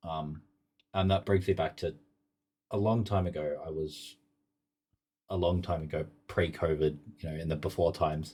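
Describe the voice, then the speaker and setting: A man's very deep, low voice with a dark, mellow tone, somewhat breathy and fairly even in intonation, at a moderate pace with long, frequent pauses. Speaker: podcast host. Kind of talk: casual interview chat. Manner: drowsy, zonked-sounding.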